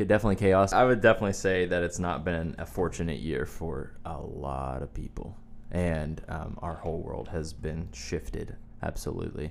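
A man with an American accent speaks at a very deep, low pitch with vocal fry and ordinary pitch variation. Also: moderate pace. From US South, Wilmington. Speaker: pastor's son, musician. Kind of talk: casual chat.

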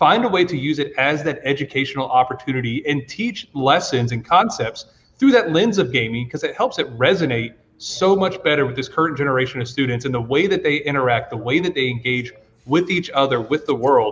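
A somewhat breathy man with an American accent, a fairly high pitch, lively intonation and a fairly quick pace. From US South, Georgia. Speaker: esports educator. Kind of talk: panel discussion.

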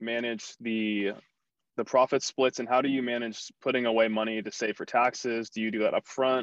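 A man talks at a fairly quick pace and a medium pitch in an unremarkable speaking voice. The sound is dry and close with no echo, against a quiet background. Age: young. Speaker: podcast host. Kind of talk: casual interview.

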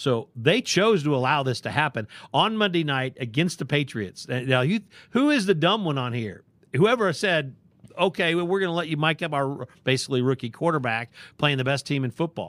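An ordinary speaking voice, this man talks at a fairly quick pace in a fairly high pitch with lively intonation, on a very clean recording with a silent background. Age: 50s. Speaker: sports podcast co-host. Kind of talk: casual chat.

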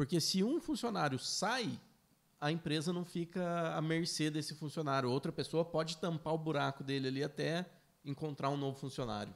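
On a very clean recording with a silent background, a man with a fairly high pitch and an unremarkable speaking voice talks at a moderate pace. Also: ordinary pitch variation. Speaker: business owner, podcast co-host. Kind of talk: casual chat.

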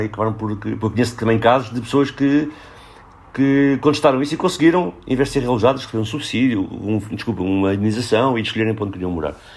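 A man speaks very fast at a medium pitch, with ordinary pitch variation, against noticeable background noise. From Portugal, Lisbon. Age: 40s. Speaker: social worker and urban researcher. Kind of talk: casual interview.

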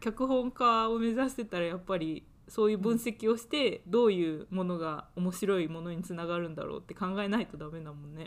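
At a fairly quick pace with hardly any pauses, a woman with an unremarkable speaking voice and medium pitch uses lively intonation, her loudness swinging widely. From Japan. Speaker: podcast co-host, university student. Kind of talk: casual chat.

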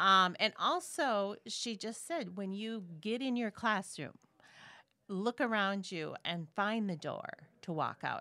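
Very slowly, a woman speaks in an Upper Midwest accent at medium pitch. Her tone is bright and sharp, her intonation lively, and the recording very clean with a silent background. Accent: Upper Midwest (Minnesota). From Minnesota. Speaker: podcast guest, host's aunt. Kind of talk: casual chat.

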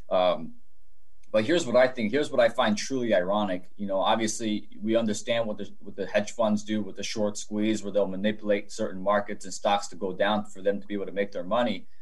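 Over noticeable background noise, a man speaks in a fairly low voice with fairly even intonation. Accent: American. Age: 20s. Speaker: real estate investor. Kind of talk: interview conversation.

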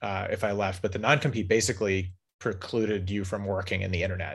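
The recording is very clean, with a silent background. A man speaks at a fairly low pitch. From Southern California, San Diego. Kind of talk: interview. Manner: fast.

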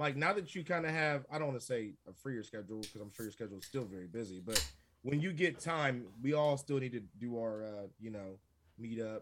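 A man talks at a fairly quick pace and medium pitch in a plain, everyday voice. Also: lively intonation. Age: 40s. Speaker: podcast guest. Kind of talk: casual chat.

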